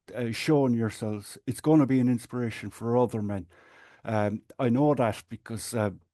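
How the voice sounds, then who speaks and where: A man speaks with an Irish accent at a medium pitch and a moderate pace. His tone is dark and mellow, his intonation fairly even, and the background is quiet. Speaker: patient advocate and support group administrator. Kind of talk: podcast interview.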